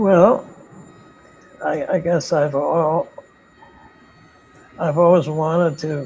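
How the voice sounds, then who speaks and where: Noticeable background noise accompanies a man with a fairly high pitch who speaks at a very slow pace. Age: 80s+. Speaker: retired philosophy professor. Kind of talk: interview. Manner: halting, with many repetitions.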